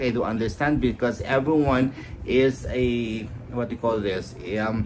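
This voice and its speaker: A man speaks with a Filipino accent at a medium pitch. Noticeable background noise and audible room echo fill the recording. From Philippines. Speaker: high school teacher. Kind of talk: lecture. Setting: live stream. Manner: halting.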